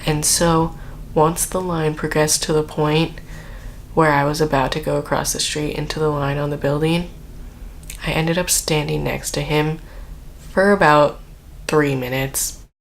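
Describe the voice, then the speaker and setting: Soft-spoken delivery at a moderate pace, broken by long, frequent pauses. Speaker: IT department worker. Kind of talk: casual storytelling to camera.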